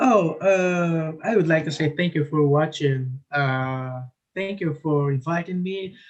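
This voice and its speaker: Speaking very slowly with a non-native accent, a man uses a fairly high pitch and ordinary pitch variation. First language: not English. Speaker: online gamer. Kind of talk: live stream chat. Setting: video call. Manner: halting.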